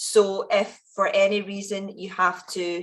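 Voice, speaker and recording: A woman speaks with a west of Scotland accent. Her voice sits at a medium pitch. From Scotland, Ayrshire (Kilmarnock). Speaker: founder and event speaker. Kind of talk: keynote talk at online event. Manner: animated.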